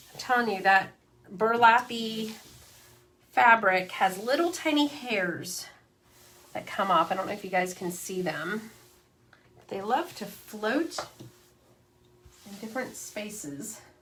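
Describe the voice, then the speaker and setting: With lively intonation and a fairly high pitch, a woman speaks at a fairly slow pace, leaving long, frequent pauses. Her loudness swings widely over noticeable background noise. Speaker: crafting channel host. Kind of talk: craft tutorial livestream. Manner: casual, chatty.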